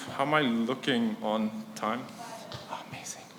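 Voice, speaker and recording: Someone with a non-native accent speaks amid noticeable background noise and audible room echo. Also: man. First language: not English. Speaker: conference speaker, startup product executive. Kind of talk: conference talk. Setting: stage with audience. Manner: casual, filler-heavy.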